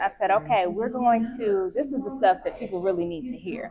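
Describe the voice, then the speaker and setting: A woman is speaking. She is soft-spoken. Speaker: business owner and massage healer. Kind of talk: interview.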